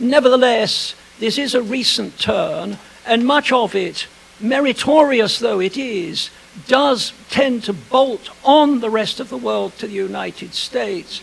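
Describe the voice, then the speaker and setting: Over noticeable background noise, a man speaks at an extremely high pitch for a man, with ordinary pitch variation. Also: fairly slow pace. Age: old. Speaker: historian. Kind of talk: lecture. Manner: formal.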